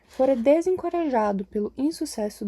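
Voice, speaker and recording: Soft-spoken, a woman with a dark, mellow tone talks with lively intonation. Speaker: audiobook reader. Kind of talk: reading aloud.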